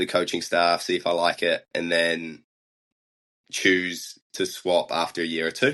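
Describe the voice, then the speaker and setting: A man with a New Zealand accent speaks at a fairly slow pace in a very deep, low voice, his tone bright and sharp but his intonation monotone and flat. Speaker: biathlete. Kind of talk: interview.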